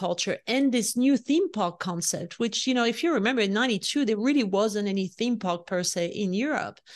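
A woman with a French accent, fairly high in pitch, animated in tone, fairly quick, with ordinary pitch variation and a quiet background. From France. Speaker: leadership coach and author. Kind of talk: interview.

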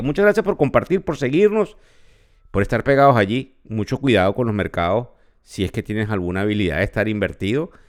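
In a very clean recording with a silent background, a man with a Venezuelan accent talks fairly quickly at a medium pitch, his voice making very wide pitch swings. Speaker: podcast host, finance professor. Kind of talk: market news commentary.

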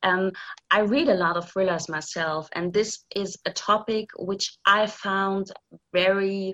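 Very slow and fairly even in intonation, a woman speaks at a medium pitch with a bright, sharp tone in a German accent. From East Germany. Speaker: thriller author. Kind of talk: interview.

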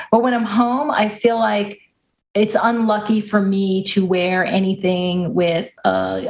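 A woman's somewhat breathy, medium-pitched voice with fairly even intonation and an American accent. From US Northeast, Long Island. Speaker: baseball podcast co-host. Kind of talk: casual chat.

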